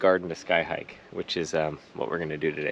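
The man's voice sounds dry, with no echo. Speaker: travel vlogger. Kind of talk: casual vlog chat, explaining plants. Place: garden. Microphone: phone near.

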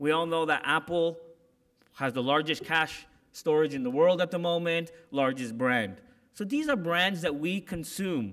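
In a quiet setting, a man speaks at a moderate pace with a fairly high pitch and ordinary pitch variation. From Canada. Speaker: corporate security executive; keynote speaker. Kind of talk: keynote speech. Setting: conference stage with audience. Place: hall. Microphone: podium.

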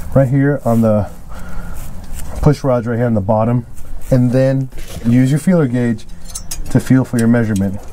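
Moving at a moderate pace, a man speaks with fairly even intonation and long, frequent pauses. Light background noise is present. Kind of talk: tutorial. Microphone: phone near.

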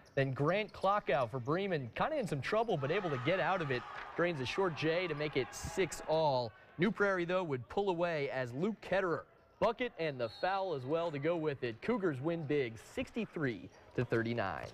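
Over noticeable background noise, a man with an American accent speaks at a moderate pace in a fairly high pitch, with lively intonation and an animated, upbeat tone. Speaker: sports reporter. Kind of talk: live-style sports highlights commentary over game footage. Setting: studio. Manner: animated, punchy, upbeat.

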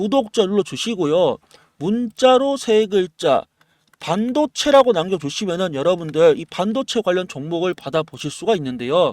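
With a dry, close sound and no echo, a man speaks high for his sex and swings his pitch very widely. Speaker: stock market YouTuber. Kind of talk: stock analysis and sales pitch. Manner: animated, fast.

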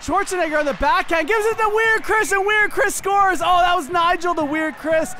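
Someone shouts in an animated tone at a fairly quick pace. Noticeable background noise comes through. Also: man. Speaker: commentator. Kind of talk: sports commentary, play-by-play of a recreational hockey game. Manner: animated, quick play-by-play calls, jokey and teasing; excitable on goals, casual banter with co-host.

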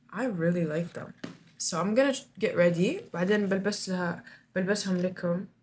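Over light background noise, a woman with an Arabic accent speaks in an animated tone, her voice somewhat breathy. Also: ordinary pitch variation, fairly slow pace. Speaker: vlogger. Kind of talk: casual vlog, monologue to camera, mixing English and Arabic. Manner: animated, casual, code-switching.

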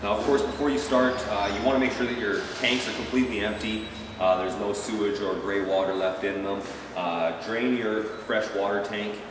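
Amid noticeable background noise and audible room echo, a man with a fairly low pitch talks at a fairly quick pace with fairly even intonation. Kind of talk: tutorial. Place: garage. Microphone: camera far.

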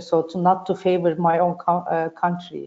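Here is a woman with a Turkish accent and a dark, mellow tone. She speaks at a fairly slow pace. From Turkey. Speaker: panel moderator, shipping executive; panelist. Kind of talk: panel discussion. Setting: video call. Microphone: video call.

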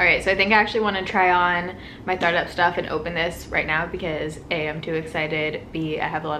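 Someone speaks at a very fast pace in a monotone, flat delivery. Noticeable background noise runs underneath. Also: woman. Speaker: beauty vlogger. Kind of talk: casual vlog chat. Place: home room. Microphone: phone near.

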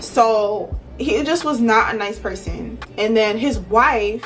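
A woman speaks with ordinary pitch variation over faint music in the background. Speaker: beauty vlogger. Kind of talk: casual storytime vlog chat. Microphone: phone near.

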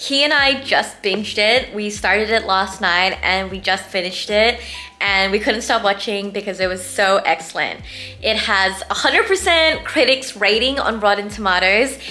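Music sits in the background while a woman speaks at a moderate pace with ordinary pitch variation. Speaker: vlogger. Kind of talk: casual vlog chat. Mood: cheerful, excited. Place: home room. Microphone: phone near.

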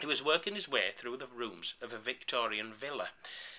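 The intonation here is lively. The voice is a natural reading voice.

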